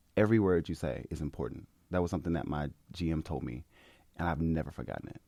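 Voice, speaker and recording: At a very fast pace, a man with a very deep, low pitch and a dark, mellow tone speaks with vocal fry and ordinary pitch variation. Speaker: podcast host. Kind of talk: casual chat. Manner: bright, upbeat.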